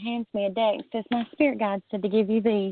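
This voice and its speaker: With a Southern US accent, a woman speaks at a fairly high pitch with ordinary pitch variation. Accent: Southern US, noticeable. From US South. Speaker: guest, tarot reader. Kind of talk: casual chat. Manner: animated.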